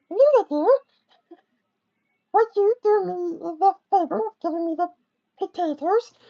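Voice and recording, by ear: An extremely high, squeaky put-on character voice speaks with long, frequent pauses. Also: moderate pace.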